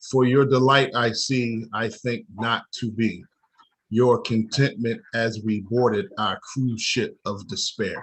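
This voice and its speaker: Speaking at a very slow pace, a man uses a medium-pitched, somewhat breathy voice with ordinary pitch variation. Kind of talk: spoken word poetry performance.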